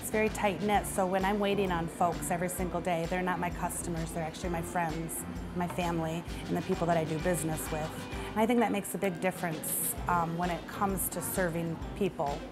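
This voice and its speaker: Clear music plays in the background. A woman speaks at a fairly quick pace. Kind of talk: interview answer. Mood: warm, sincere. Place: bar. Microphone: lapel.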